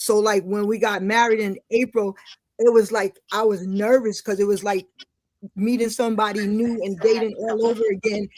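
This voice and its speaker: A woman's fairly high, monotone voice with flat intonation at a moderate pace. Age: 60s. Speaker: returning podcast guest. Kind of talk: casual interview chat. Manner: halting, many repetitions and fillers.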